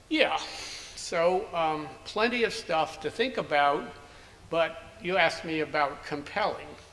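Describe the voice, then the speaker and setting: A man with an American accent speaks fairly slowly in a high voice with ordinary pitch variation and long, frequent pauses. Audible room echo and noticeable background noise fill the recording. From US Northeast (Princeton, New Jersey). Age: 70s. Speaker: anthropologist. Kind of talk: interview.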